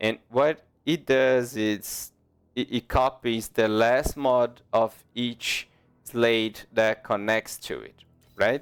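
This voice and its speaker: A non-native accent at a very slow pace, fairly even intonation, big swings in loudness, and a dry, close sound with no echo. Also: man, medium pitch for a man. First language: not English. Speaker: gaming youtuber. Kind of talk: tutorial. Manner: halting.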